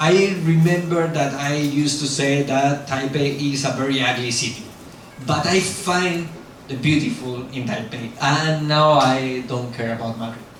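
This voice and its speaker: With a strong Spanish accent, a man speaks at a fairly slow pace in a fairly high pitch with ordinary pitch variation, amid noticeable background noise and audible room echo. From Spain. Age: 40s. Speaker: YouTuber. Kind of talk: lecture.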